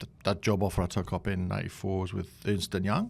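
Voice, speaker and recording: A man talks at a very fast pace with a northern English accent. The recording is very clean, with a silent background. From northeast England. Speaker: tech executive and board chair. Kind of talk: podcast interview. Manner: casual, hesitant with fillers.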